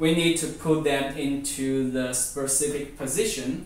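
Speaking at a very slow pace, a man's voice carries audible room echo. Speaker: presenter. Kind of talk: product demonstration tutorial. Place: home room. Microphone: camera far.

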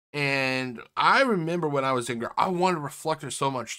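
Against a quiet background, a man talks at a fairly quick pace in a bright, sharp tone with ordinary pitch variation. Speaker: toy reviewer. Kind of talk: casual vlog chat. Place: home room. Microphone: webcam.

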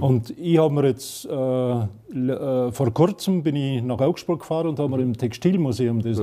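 At a moderate pace and a medium pitch, a man talks with ordinary pitch variation and hardly any pauses. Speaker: TV show host. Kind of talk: casual conversation. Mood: calm, reminiscing. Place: home room. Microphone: lapel.

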